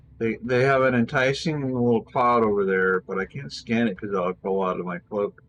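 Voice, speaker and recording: Hardly pausing, a man at a medium pitch speaks at a moderate pace with ordinary pitch variation. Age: 60s. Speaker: video game streamer. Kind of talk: casual gameplay commentary. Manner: halting.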